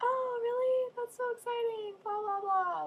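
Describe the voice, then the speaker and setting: Using a put-on character voice, a woman squeaks out her lines at an extremely high pitch and a moderate pace. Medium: solo performance. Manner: effusive.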